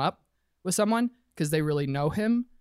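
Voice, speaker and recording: A woman's very deep, low pitch in a dry, close sound with no echo, on a very clean recording with a silent background. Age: 30s. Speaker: church member. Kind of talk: casual chat. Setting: studio.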